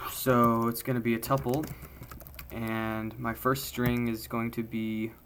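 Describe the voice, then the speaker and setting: A plain, everyday voice from a man, medium-pitched, fairly even in intonation and fairly slow in pace. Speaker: programming tutorial creator. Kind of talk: live coding tutorial.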